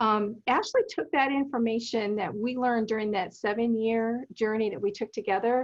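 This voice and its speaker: Over a quiet background, a woman uses a normal speaking voice at a fairly high pitch, with fairly even intonation and a moderate pace. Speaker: documentary film producer. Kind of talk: interview.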